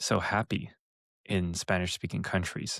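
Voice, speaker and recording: Recorded very cleanly with a silent background and a dry, close sound with no echo, a man talks with a Californian accent. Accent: American, Californian. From Los Angeles area, California. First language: Mandarin. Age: 30s. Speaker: entrepreneur. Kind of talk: interview.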